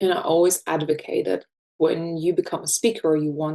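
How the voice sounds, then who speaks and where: In a dark, mellow tone, a woman with a fairly low pitch talks at a moderate pace. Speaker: professional speaker and coach. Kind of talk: interview conversation. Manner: calm, not loud.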